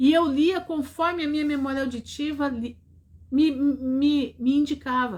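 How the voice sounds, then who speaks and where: A woman speaks high in pitch with fairly even intonation. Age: 60s. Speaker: preacher. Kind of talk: sermon.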